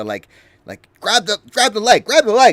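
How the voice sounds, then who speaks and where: Doing a squeaky, put-on character voice at an extremely high pitch, a man talks at a moderate pace in a dry, close recording with no echo. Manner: shouting urgently.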